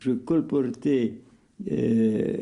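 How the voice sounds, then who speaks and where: Speaking at a very slow pace, a man with a dark, mellow tone uses lively intonation. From Limburg, Belgium. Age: 80s+. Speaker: retired journalist and political candidate. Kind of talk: interview answer. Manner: hesitant.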